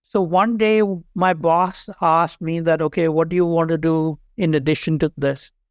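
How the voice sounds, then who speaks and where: A man with a Pakistani accent speaks in a high pitch at a moderate pace. The recording is very clean, with a silent background and a dry, close sound with no echo. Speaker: HR executive. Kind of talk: interview conversation.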